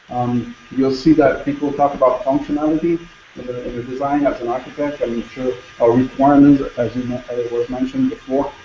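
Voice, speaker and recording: A man's medium-pitched voice at a fairly quick pace, fairly even in intonation, over noticeable background noise. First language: French. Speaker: conference speaker, former hospital logistics manager. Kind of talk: conference presentation. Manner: halting, many repetitions.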